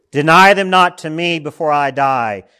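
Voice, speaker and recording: Recorded very cleanly against a silent background, a bright, sharp voice moves at a fairly slow pace. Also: man. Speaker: pastor. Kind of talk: sermon; fervent prayer. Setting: church. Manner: earnest, pleading, slow and heartfelt in prayer.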